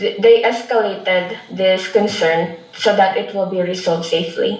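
A woman talks very slowly, with audible room echo and noticeable background noise around her. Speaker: airport theft complainant. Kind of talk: interview.

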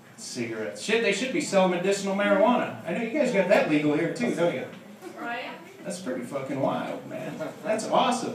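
Over light background noise and audible room echo, a man speaks at a fairly quick pace with very wide pitch swings. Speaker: stand-up comedian. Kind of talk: stand-up comedy routine. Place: stage.

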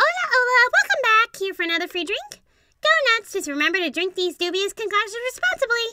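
Putting on a character voice, a woman talks at a fairly quick pace, extremely high in pitch, with lively intonation. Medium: solo performance. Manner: breezy, teasing.

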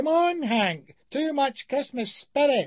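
A squeaky put-on character voice from a man, extremely high in pitch, at a fairly slow pace. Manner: chiding.

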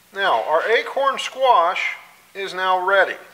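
A man speaks in a raised, projected voice with ordinary pitch variation. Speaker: home cooking show host. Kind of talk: cooking tutorial. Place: kitchen. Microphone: camera far.

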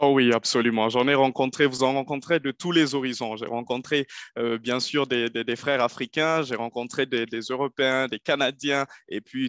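In a dry recording with no echo and a quiet background, a man talks at a moderate pace with fairly even intonation. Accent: Nigerien. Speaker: former international student, investment advisor; webinar panelist. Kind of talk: webinar presentation. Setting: online webinar. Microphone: video call.

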